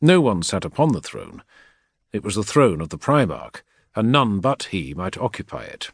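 The voice swings very widely in pitch and shifts greatly in loudness, with vocal fry throughout. The sound is dry and close with no echo, over a quiet background. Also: man, medium pitch for a man, moderate pace. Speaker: audiobook narrator. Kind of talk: dramatic audiobook narration of sci-fi fiction, with menacing character lines.

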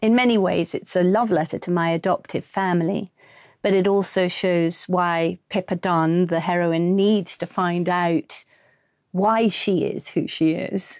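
In an English accent, the speaker goes at a fairly slow pace with fairly even intonation and very even loudness, in a dry, close sound with no echo against a quiet background. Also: woman, fairly low pitch for a woman. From England. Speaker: actress and audiobook narrator. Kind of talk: interview.

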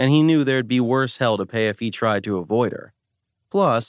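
A natural reading voice over a quiet background, its pitch varying in an ordinary way

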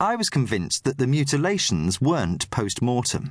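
A man speaks with vocal fry at a fairly high pitch. His pitch swings very widely. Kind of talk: audiobook narration, literary crime fiction read aloud. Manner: measured, steady storytelling pace with a grave, atmospheric tone.

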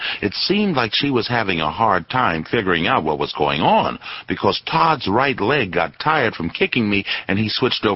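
The voice is heard reading a text. It is a natural reading voice.

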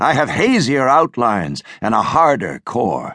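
At a very slow pace, a man with medium pitch uses vocal fry and very wide pitch swings, in a dry, close sound with no echo. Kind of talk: dramatic audiobook narration, first-person thriller reading. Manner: intense, hushed, brooding; measured, suspenseful pacing.

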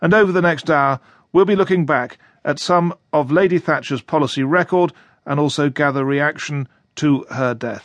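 Over a quiet background, an ordinary speaking voice holds a moderate pace with ordinary pitch variation. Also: man, fairly high pitch for a man. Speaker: radio news presenter. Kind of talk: radio news presenting. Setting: studio. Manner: formal, brisk, authoritative.

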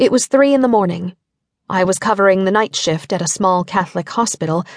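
A woman at a medium pitch, dramatic in tone, with ordinary pitch variation, a moderate pace and a dry, close sound free of echo. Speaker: audiobook narrator. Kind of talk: scripted audiobook narration, first-person memoir-style story. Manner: dramatic, wry and darkly humorous.

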